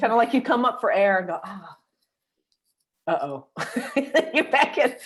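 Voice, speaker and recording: In a very clean recording with a silent background, the voice makes big swings in loudness and very wide pitch swings, with long, frequent pauses. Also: woman, high pitch for a woman. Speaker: intuitive teacher and healer. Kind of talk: casual chat. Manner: fast.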